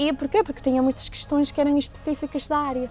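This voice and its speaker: A woman talks very fast in a high pitch. Music plays in the background. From Venezuela. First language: Spanish (speaking Portuguese). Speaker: entrepreneur. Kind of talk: interview. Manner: halting.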